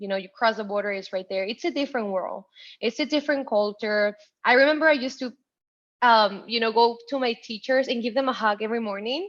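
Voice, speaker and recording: Speaking at a very fast pace, a woman has a Spanish accent. The background is quiet. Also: ordinary pitch variation. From Ciudad Juarez, Mexico; moved to El Paso, Texas at 13. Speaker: tech professional, first-generation college graduate. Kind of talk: interview, personal story. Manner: animated, with many fillers and restarts.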